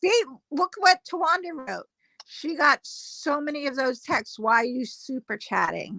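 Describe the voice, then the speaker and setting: Her voice raised and projected, a woman with an American accent speaks at a fairly slow pace and a high pitch with very wide swings, in a dry, close sound with no echo. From US Northeast, North Jersey. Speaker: livestream panel guest. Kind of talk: casual chat.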